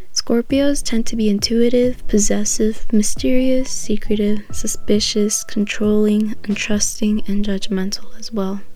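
Over noticeable background noise, the speaker goes at a fairly slow pace with hardly any pauses. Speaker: astrology podcaster. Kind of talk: casual solo talk about astrology. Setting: home recording, quiet. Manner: casual, chatty, filler words.

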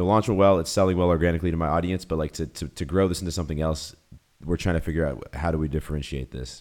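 A man with a Boston accent talks at a very fast pace, his very deep, low pitch carrying vocal fry and fairly even intonation. The recording is very clean with a silent background. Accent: American, Boston. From US Northeast (Boston). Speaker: YouTuber and entrepreneur. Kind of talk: casual interview chat.

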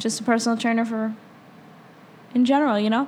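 Her fairly high-pitched voice stays monotone and flat as the woman speaks. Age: 20s. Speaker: podcast co-host and fitness instructor. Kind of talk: casual chat.

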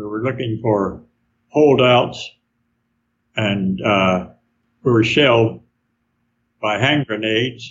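A man with a Southern US accent at a very slow pace, with ordinary pitch variation and long, frequent pauses. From Arkansas. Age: 90s. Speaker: war veteran. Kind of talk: interview. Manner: halting.

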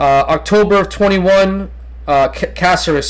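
A man's voice comes through against noticeable background noise. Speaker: podcast host; health teacher. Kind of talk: casual chat.

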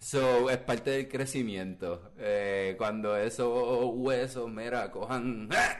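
A man speaks very slowly at a medium pitch, his intonation fairly even. Noticeable background noise runs behind him. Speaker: podcast co-host. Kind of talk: casual chat.

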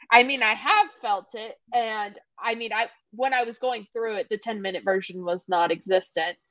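A plain, everyday voice comes from a woman at a fairly high pitch. She uses lively intonation at a fairly slow pace. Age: 20s. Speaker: podcast co-host. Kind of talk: casual chat.

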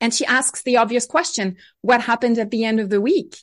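A woman with a French accent speaks at a high pitch over a quiet background. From France, Bordeaux region. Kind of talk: interview.

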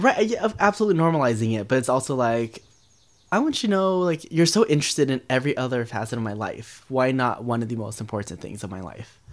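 Swinging very widely in pitch around a medium level, a man talks at a very fast pace. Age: 20s. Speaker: guest sharing coming out story. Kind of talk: personal storytelling interview.

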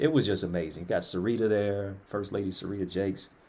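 In a plain, everyday voice with an American accent, the speaker talks at a fairly quick pace with ordinary pitch variation. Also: man. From Jamaica (raised by missionary parents), Detroit. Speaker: motivational speaker, author and college professor. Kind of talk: interview, testimony. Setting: livestreamed talk show.

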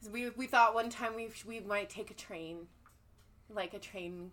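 This woman has a normal speaking voice with ordinary pitch variation. She talks at a fairly slow pace. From Colorado, US. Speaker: R&B singer. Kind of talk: casual interview chat.

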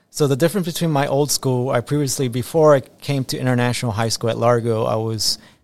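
A man with an American accent speaks at a medium pitch with ordinary pitch variation. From US, Tampa Florida (born Ecuador). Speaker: assistant principal. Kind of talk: interview.

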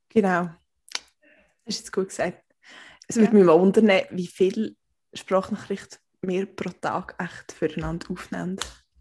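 A woman speaks fairly slowly in a somewhat breathy voice with a dark, mellow tone, a medium pitch and monotone, flat intonation. Her loudness swings widely, and long pauses come often. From Switzerland, canton Aargau. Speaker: podcast co-host. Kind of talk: casual chat.

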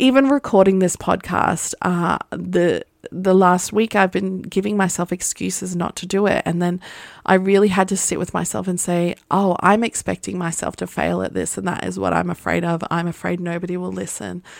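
Recorded very cleanly over a silent background with a dry, close sound and no echo, a woman with a fairly low pitch speaks at a moderate pace. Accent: Australian. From Australia, partly raised in Las Vegas. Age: 30s. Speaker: podcast host, photographer. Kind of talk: casual monologue. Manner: animated, laughing often.

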